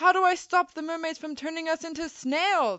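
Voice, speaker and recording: An extremely high-pitched, put-on character voice at a moderate pace. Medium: read story. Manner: loud, exclamatory.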